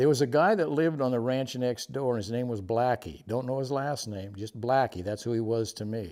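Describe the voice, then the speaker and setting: A man's dark, mellow voice at a fairly quick pace, with hardly any pauses. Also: medium pitch for a man, ordinary pitch variation. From California. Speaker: interviewee sharing life stories. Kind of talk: casual storytelling interview.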